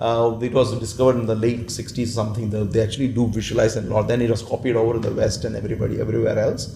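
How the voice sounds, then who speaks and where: Noticeable background noise sits behind a man talking at a very fast pace. His intonation is monotone and flat, with hardly any pauses. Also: medium pitch for a man. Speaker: world champion public speaker and management consultant. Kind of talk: interview.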